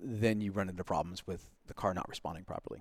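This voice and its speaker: Fairly low in pitch, a man with an American accent talks at a fairly quick pace in a very clean recording with a silent background. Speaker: driving instructor. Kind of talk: casual chat.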